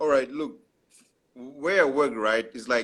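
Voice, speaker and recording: Speaking with an African accent, a man talks at medium pitch. His pace is fairly slow. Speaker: podcast host. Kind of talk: casual chat. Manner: halting.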